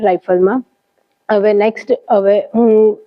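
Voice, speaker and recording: Her intonation stays monotone and flat. The woman's pitch is fairly high. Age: 20s. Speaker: athlete (rifle shooter), student. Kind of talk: interview statement.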